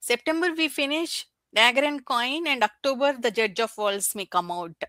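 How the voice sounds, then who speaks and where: Captured in a dry, close sound with no echo on a very clean recording with a silent background, a woman with a non-native accent speaks in an animated, bright, sharp tone at a moderate pace with very wide pitch swings. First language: not English. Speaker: book YouTuber. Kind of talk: casual chat. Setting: livestream. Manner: halting.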